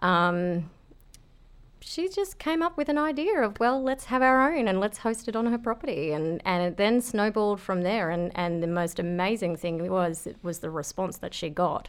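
A woman with an Australian accent, very wide pitch swings and a moderate pace. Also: medium pitch for a woman. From Australia, rural southeast Queensland. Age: 30s. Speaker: veterans retreat operator. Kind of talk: casual interview. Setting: studio.

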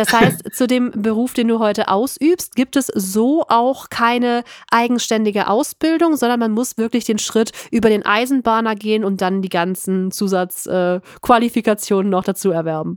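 A woman with a Cologne accent, ordinary pitch variation and a moderate pace. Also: fairly high pitch for a woman, dry, close sound with no echo. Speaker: podcast host. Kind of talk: interview.

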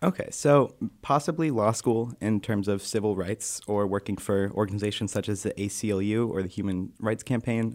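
With an ordinary speaking voice, a man at fairly low pitch talks at a moderate pace with ordinary pitch variation and hardly any pauses, on a very clean recording with a silent background. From Massachusetts, US. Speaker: college student. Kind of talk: interview. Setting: radio studio.

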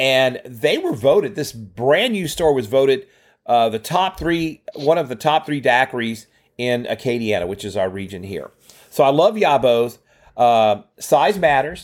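A man with a Louisiana accent, lively intonation and a fairly slow pace. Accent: Southern US (Louisiana). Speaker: podcast co-host. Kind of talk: casual chat. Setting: video call.

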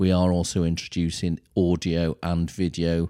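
With a Welsh accent, a man speaks in a very deep, low, dark and mellow voice with flat, monotone intonation, on a very clean recording with a silent background and a dry, close sound with no echo. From North Wales. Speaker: charity chief executive. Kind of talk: interview.

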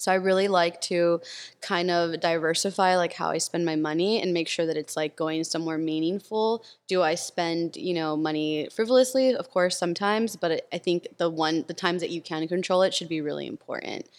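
The speaker is a woman with a Californian accent. Her pitch is fairly low. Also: ordinary pitch variation. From Los Angeles, US. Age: 30s. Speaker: tech community builder. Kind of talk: casual chat.

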